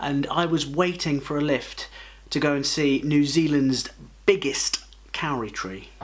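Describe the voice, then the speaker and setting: Noticeable background noise sits under a man who talks at a fairly slow pace. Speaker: travel vlogger. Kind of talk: travel vlog. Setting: outdoors. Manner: animated.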